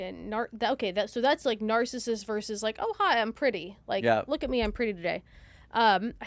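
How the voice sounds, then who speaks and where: In a very clean recording with a silent background, a woman with a plain, everyday voice speaks fairly quickly at a fairly high pitch with ordinary pitch variation. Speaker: podcast host. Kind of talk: podcast conversation.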